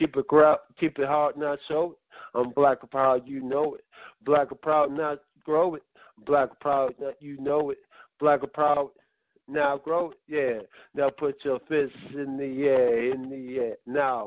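In a fairly high, monotone voice with flat intonation, a man speaks at a very slow pace with big swings in loudness. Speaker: caller. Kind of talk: performed hip-hop poem. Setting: phone call.

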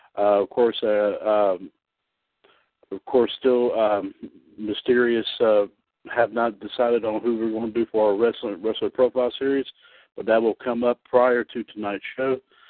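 A man at medium pitch, monotone and flat, at a moderate pace broken by long, frequent pauses. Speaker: wrestling radio host. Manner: sign-off warmth, ending with 'see you in the ring' and 'God bless'.

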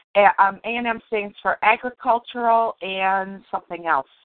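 An ordinary speaking voice from a woman with an American accent, medium pitch, ordinary pitch variation and a moderate pace. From Detroit, US Midwest. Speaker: interviewer, book coach. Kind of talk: casual interview.

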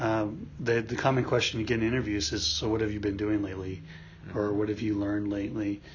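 A very fast man's voice, fairly low in pitch, with fairly even intonation and audible room echo. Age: 40s. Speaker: podcast co-host, job search coach. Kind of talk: casual chat. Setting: studio, face to face.

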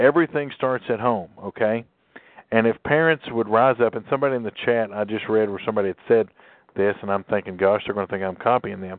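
A very fast-talking man with a Southern US accent, his pitch fairly low and its variation ordinary. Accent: southern twang. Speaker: talk radio host. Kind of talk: call-in radio talk.

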